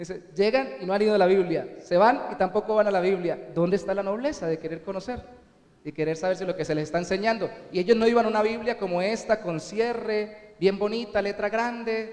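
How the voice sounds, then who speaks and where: A man talks at a fairly quick pace in a high pitch, with ordinary pitch variation and noticeable background noise around him. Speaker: pastor. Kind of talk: sermon.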